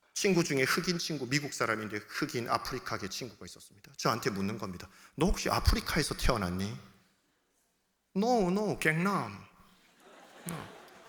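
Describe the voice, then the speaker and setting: A man with a fairly high pitch and bright, sharp tone speaks at a moderate pace, leaving long, frequent pauses. His pitch swings very widely and his loudness shifts a lot. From South Gyeongsang, Korea (Changwon). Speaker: pastor. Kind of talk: sermon. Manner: animated.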